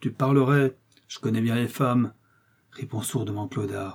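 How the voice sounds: The voice reads naturally. That holds from start to finish.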